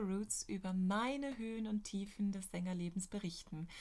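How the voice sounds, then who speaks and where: There is a somewhat breathy quality to this woman's voice. She takes a fairly slow pace. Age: 30s. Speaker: opera singer and podcast host. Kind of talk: personal diary-style podcast monologue.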